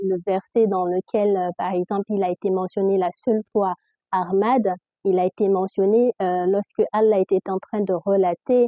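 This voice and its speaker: Monotone, flat intonation carries speech at a very slow pace. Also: woman. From Guinea (Fula/Peul). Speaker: religious content creator. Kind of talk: casual religious explanation to camera. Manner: hesitant, many filler sounds; difficulty articulating.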